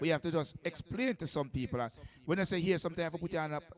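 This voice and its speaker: Here a man speaks very fast with a Jamaican accent. His voice is high, with ordinary pitch variation. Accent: Jamaican Patois-inflected English. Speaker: radio DJ and selector. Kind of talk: radio show chat. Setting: radio studio. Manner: animated.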